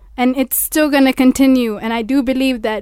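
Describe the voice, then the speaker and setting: High-pitched, monotone speech from a woman with a Kenyan coastal accent, flat in intonation. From Kenya, Mombasa. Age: young. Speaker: law student. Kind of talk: radio discussion.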